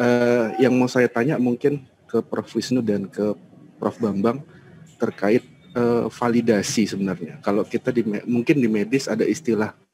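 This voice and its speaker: A man's medium-pitched, dark, mellow voice at a moderate pace, with ordinary pitch variation and light background noise. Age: young. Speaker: young lecturer and researcher; young lecturer. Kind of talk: Q&A question. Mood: polite, thoughtful. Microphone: video call.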